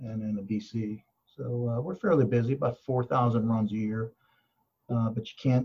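A man with an American accent talks in a monotone, flat way, his tone dark and mellow and somewhat breathy. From Pittsburgh area, US. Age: 60s. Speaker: fire chief. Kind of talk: interview.

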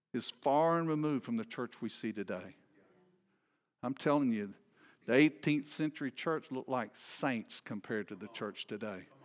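A moderate pace in a Southern US accent, with ordinary pitch variation, on a very clean recording against a silent background. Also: man, medium pitch for a man. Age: 60s. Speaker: visiting preacher. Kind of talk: sermon. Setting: church with congregation. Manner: informal, humorous, hesitant with many fillers.

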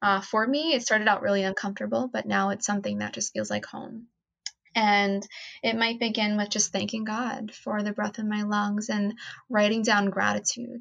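A woman with an American accent and an unremarkable speaking voice talks at a moderate pace, her fairly high pitch kept to a fairly even intonation. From New Jersey, US. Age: 20s. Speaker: nonprofit co-founder. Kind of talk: casual chat.

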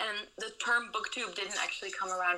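A woman with a Dutch accent talks at a very fast pace. Noticeable background noise sits behind her. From Netherlands. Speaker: booktuber and social media consultant. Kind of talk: interview.

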